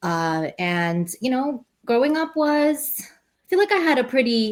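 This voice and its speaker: Speaking at a fairly slow pace in a high pitch, a woman swings very widely in pitch and shows big swings in loudness. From New York City (Queens), born in Russia. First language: Russian. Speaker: poet and teacher. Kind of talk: interview. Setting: podcast recording. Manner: halting, many fillers.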